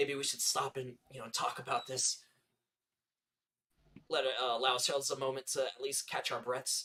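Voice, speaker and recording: Putting on a character voice, a man speaks in a raspy, medium-pitched tone at a moderate pace, leaving long, frequent pauses. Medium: actual play. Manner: hesitant, measured.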